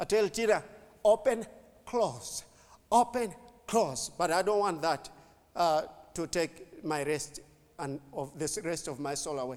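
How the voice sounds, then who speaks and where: A man with a high pitch talks fairly slowly. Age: 50s. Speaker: pastor. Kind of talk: sermon. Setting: church.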